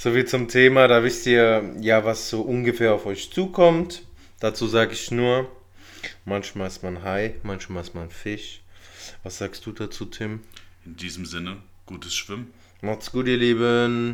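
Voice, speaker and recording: Pausing long and often, a man with a medium pitch speaks at a fairly slow pace, with ordinary pitch variation and big swings in loudness. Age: 30s. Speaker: podcast host. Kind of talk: casual chat.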